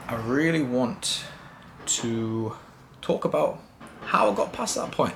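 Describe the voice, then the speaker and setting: In a British accent, a man speaks at a fairly high pitch with ordinary pitch variation, and audible room echo is present. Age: 20s. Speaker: vlogger. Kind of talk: personal vlog monologue. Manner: casual.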